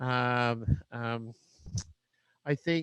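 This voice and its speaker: A man's voice comes through dry and close with no echo, against a quiet background. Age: 60s. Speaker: educator, alternative school founder. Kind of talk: casual interview. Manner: halting, many fillers and restarts.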